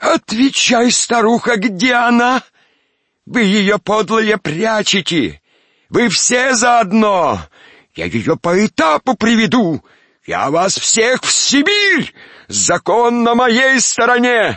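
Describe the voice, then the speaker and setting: A man's shrill, put-on character voice, shouting at a high pitch and a fairly slow pace with ordinary pitch variation. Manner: yelling, threatening.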